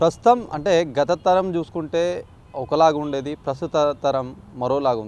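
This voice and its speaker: A man with a fairly high pitch has a plain, everyday voice. His pitch varies in an ordinary way. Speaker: news channel interviewer. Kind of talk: interview questions.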